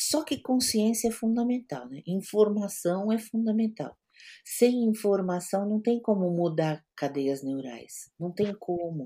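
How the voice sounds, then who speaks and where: At a very slow pace, a woman speaks at a medium pitch with very wide pitch swings and a dark, mellow, somewhat breathy tone on a very clean recording with a silent background. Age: 60s. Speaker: psychologist. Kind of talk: interview.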